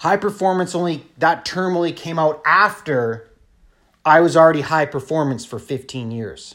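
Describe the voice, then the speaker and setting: A man's fairly high, animated voice with a Canadian accent, ordinary pitch variation and a moderate pace, in a very clean recording with a silent background. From Canada, northern Ontario (Thunder Bay). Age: 40s. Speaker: entrepreneur vlogger. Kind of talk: casual rant monologue.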